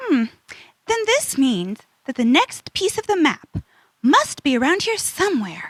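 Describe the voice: Taking on a put-on character voice, a woman speaks fairly slowly at a high pitch with a fairly bright tone and very wide pitch swings, the sound dry and close with no echo.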